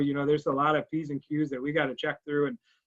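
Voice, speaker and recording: This man's voice sits at a fairly high pitch. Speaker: fundraising officer for a charitable foundation. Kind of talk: presentation to a club. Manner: fast; halting, many fillers and restarts.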